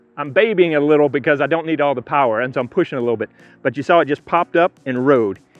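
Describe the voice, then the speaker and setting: A man's fairly high voice at a very fast pace, with music in the background. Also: ordinary pitch variation. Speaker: disc golf youtuber. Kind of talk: outdoor tutorial. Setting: outdoors on a disc golf course.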